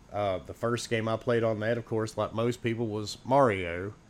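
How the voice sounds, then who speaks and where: A man's medium-pitched voice with ordinary pitch variation, a plain, everyday voice. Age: 40s. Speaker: podcaster. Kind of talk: casual chat.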